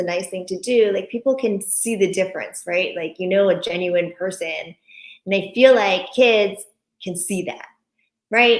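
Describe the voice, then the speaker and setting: With a Japanese accent, a woman talks at a moderate pace in a medium pitch, her pitch varying in an ordinary way. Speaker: author and parent. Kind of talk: interview. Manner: animated.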